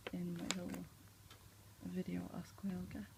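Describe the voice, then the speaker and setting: A soft-spoken woman talks against noticeable background noise. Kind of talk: ASMR makeup show and tell.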